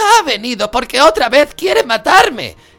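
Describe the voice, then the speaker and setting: A man puts on a shrill character voice pitched extremely high. He talks at a moderate pace. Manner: shrill, squealing.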